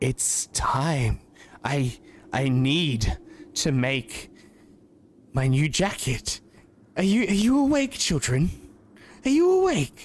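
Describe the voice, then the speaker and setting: Putting on a raspy character voice, a man speaks at a fairly high pitch and a very slow pace. His loudness stays very even, broken by long, frequent pauses. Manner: eerie, unsettling.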